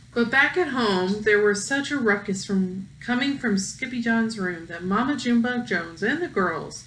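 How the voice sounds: Ordinary variation in pitch across a natural reading voice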